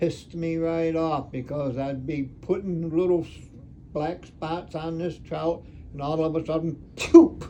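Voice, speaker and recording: A man speaks fairly slowly at a fairly high pitch. His tone is dark and mellow, his intonation monotone and flat. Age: 80s+. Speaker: retired taxidermist. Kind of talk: conversational explanation. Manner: hesitant, halting.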